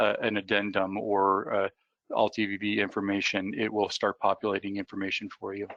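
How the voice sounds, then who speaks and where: Against a quiet background, a man talks with fairly even intonation, the sound dry and close with no echo. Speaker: software vendor representative. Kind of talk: webinar presentation. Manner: fast; halting, many fillers.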